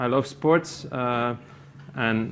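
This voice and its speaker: A man with a Flemish accent. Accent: Belgian Dutch (Flemish) accent in English. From Belgium. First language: Dutch. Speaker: company IT executive. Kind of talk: conference presentation. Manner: halting, many fillers.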